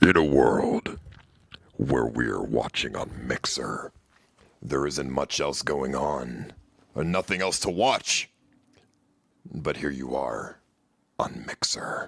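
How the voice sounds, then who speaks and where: A man in a put-on character voice speaks at a very slow pace with long, frequent pauses, his pitch very deep and low with ordinary variation, in a dry, close sound with no echo. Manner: dramatic.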